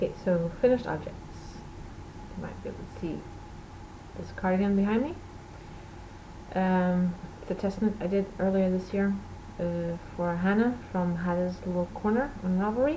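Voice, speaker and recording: Audible room echo surrounds a woman speaking at a moderate pace and medium pitch, with ordinary pitch variation and long, frequent pauses. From Portugal. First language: Portuguese or Dutch. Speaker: knitting podcaster. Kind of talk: casual video podcast chat.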